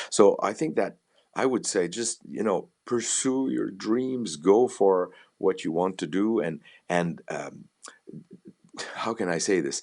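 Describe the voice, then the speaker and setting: A man's fairly low voice in a Quebec accent, very slow, with long, frequent pauses. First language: French. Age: 60s. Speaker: violinist, conductor and music professor. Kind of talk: interview conversation. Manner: halting, with false starts and repetitions.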